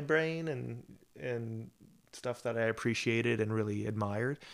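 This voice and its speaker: This man talks at a fairly slow pace with fairly even intonation and a medium pitch. The recording is very clean, with a silent background. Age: 40s. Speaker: rock musician, guitarist and vocalist. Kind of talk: casual interview. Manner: halting, many repetitions and fillers.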